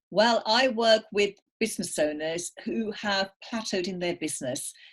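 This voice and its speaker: A woman with a slight English accent speaks at medium pitch with ordinary pitch variation and a somewhat breathy quality against a quiet background. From England. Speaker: business coach. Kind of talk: podcast interview.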